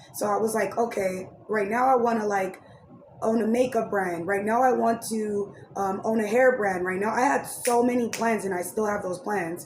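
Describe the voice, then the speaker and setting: A woman's fairly high voice at a moderate pace, fairly even intonation, with noticeable background noise and audible room echo. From Raleigh, North Carolina, then San Diego. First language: Spanish. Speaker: YouTuber and commentary podcaster. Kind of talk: casual storytime monologue. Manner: casual, many fillers.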